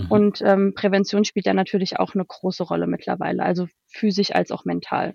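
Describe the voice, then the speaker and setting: Speaking at a fairly quick pace with hardly any pauses, a woman is captured in a dry, close sound with no echo. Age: 20s. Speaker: HR consultant. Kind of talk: interview. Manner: hesitant, many filler sounds.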